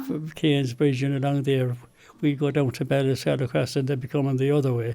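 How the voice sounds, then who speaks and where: Speaking at a fairly quick pace, a man uses a fairly high-pitched, dark, mellow voice with monotone, flat intonation. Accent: Kilkenny. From County Kilkenny, Ireland. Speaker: retired farmer. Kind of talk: interview answer.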